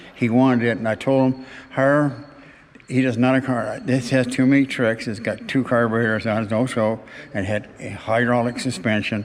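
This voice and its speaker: Monotone, flat delivery at a moderate pace from a man of medium pitch, with noticeable background noise. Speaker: hot rod builder. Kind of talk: casual chat. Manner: halting.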